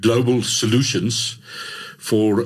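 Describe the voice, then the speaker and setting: A man's medium-pitched voice at a very slow pace, fairly even in intonation, over noticeable background noise. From South Africa, Vaal Triangle (Gauteng). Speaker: mining IT manager. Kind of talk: interview. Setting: studio. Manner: halting, many fillers.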